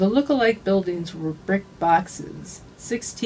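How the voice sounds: Natural-sounding read speech.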